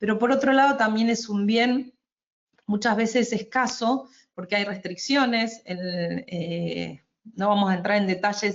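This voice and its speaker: A woman speaks in an Argentine accent at a moderate pace. Her pitch is fairly high, with ordinary variation. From Argentina. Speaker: energy efficiency advisor, webinar presenter. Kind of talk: webinar presentation. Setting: online webinar. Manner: hesitant, with fillers and restarts.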